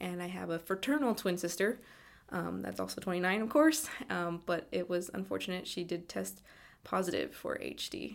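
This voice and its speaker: Speaking at a moderate pace, a woman talks in a Californian accent. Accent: Californian American. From California, East Bay. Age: 20s. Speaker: interviewee, family member of a patient. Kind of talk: personal interview testimony. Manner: halting, with fillers and repeats.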